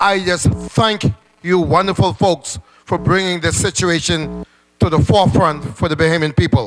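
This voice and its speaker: Over background music, a man with a high voice and ordinary pitch variation talks at a moderate pace. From Bahamas. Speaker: trade union representative. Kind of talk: town meeting comment. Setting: public meeting. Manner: impassioned.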